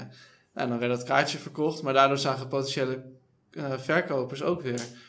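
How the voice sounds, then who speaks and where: Over audible room echo, a man talks at a fairly quick pace in a monotone, flat intonation. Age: 30s. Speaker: startup co-founder. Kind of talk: interview.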